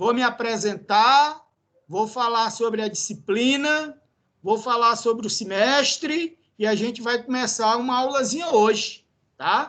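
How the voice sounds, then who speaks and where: The voice has a Ceará accent, a bright, sharp tone, and ordinary pitch variation. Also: man, extremely high pitch for a man, fairly slow pace. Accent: Northeastern Brazilian (cearense). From Brazil, Ceará (Northeast). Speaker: university professor. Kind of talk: lecture. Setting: classroom.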